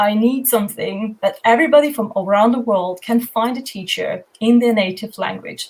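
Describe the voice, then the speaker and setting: This woman has a German accent and a fairly high pitch. Her pace is moderate, and her pitch varies in an ordinary way. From Germany. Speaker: homeschooling project founder. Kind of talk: panel discussion.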